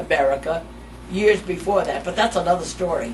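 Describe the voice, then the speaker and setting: With a New York accent, a woman speaks at medium pitch with ordinary pitch variation while noticeable background noise runs underneath. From New York, Mount Vernon. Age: 90s. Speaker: family elder interviewee. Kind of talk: oral history interview. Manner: halting.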